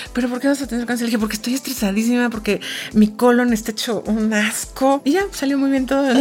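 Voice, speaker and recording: Through noticeable background noise, a woman with a high pitch speaks at a very fast pace with fairly even intonation. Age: 40s. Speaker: events executive. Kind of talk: interview.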